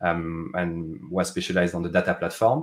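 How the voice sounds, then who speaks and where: A man speaks in a French accent at a moderate pace. The recording is very clean, with a silent background. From France. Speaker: tech product manager. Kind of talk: interview conversation. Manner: halting, many fillers.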